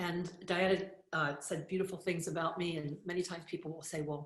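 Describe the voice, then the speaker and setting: With an American accent, the speaker sounds somewhat breathy, with fairly even intonation and audible room echo. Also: woman. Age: 60s. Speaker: spiritual teacher and author. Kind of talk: motivational talk.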